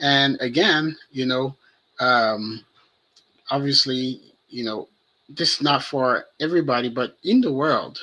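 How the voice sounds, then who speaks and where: This man has a fairly high pitch and a bright, sharp tone. He speaks with a French accent. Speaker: web developer discussing AI and business. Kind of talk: casual podcast conversation. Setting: live stream.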